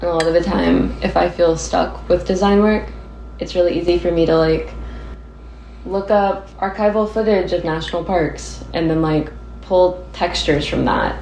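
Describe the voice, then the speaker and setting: A woman's moderate-paced speech comes with audible room echo and noticeable background noise. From Nashville, Tennessee. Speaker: graphic designer. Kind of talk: casual chat. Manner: casual, frequent fillers like 'like'.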